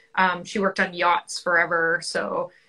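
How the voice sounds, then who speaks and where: A woman's bright, sharp tone against a quiet background. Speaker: guest. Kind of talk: interview answer. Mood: friendly, enthusiastic. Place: home room. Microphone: video call.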